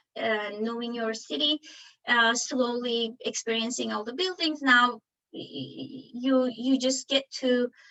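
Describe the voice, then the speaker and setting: A woman's high voice moves at a fairly slow pace with ordinary pitch variation. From Turkey (Ankara). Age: 40s. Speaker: architect and engineer. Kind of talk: presentation talk. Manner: halting, many fillers.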